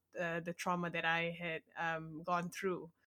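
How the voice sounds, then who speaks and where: In a Malaysian accent, a woman speaks at a fairly slow pace with a bright, sharp tone on a very clean recording with a silent background. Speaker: blogger and aspiring author. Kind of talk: interview.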